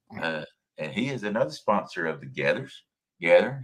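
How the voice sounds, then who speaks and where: A man's medium-pitched voice with vocal fry at a fairly quick pace. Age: 60s. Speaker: fishing live stream host. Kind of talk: live stream chat.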